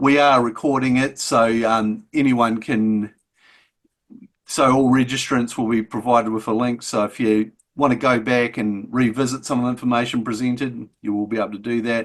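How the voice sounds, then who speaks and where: A man with a slight New Zealand accent speaks at a medium pitch and moderate pace. His intonation is monotone and flat, against a quiet background. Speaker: agricultural extension officer. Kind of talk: webinar introduction. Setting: video call. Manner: hesitant, many fillers.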